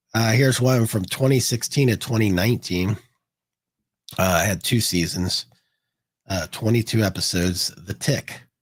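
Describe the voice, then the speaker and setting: A somewhat breathy male voice, fairly low in pitch with ordinary pitch variation, at a moderate pace with long, frequent pauses. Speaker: podcast co-host. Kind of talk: casual chat. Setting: live stream.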